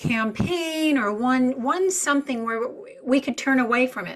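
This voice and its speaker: High in pitch, a woman's voice moves at a fairly slow pace. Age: 60s. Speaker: animal advocate. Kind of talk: interview conversation. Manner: stammering.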